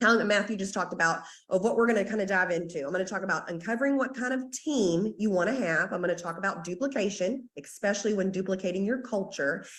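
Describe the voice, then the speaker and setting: With a Southern US accent, a woman speaks in an animated tone with hardly any pauses. Her pitch variation is ordinary. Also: medium pitch for a woman. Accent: Southern US drawl. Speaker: network marketing team leader. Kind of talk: team training call. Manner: fast.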